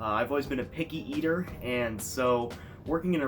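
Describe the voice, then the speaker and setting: With music in the background, a man with an American accent speaks at a fairly quick pace with ordinary pitch variation. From United States. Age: 20s. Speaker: YouTuber. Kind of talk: casual vlog monologue.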